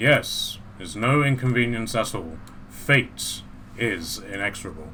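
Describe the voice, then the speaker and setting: Over clear background noise, a man uses a put-on character voice at a medium pitch. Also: moderate pace. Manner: ominous, booming.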